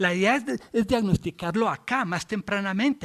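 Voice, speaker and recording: A man speaks with a high pitch and lively intonation at a moderate pace. The sound is dry and close, with no echo. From Colombia. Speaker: physician lecturer. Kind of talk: lecture. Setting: videoconference. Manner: halting, many fillers and restarts.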